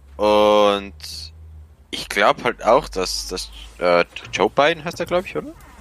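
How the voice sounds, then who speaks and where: Pausing long and often, a man speaks at a fairly slow pace with a dry, close sound and no echo. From rural Austria. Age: 18. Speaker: electrician. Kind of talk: casual chat.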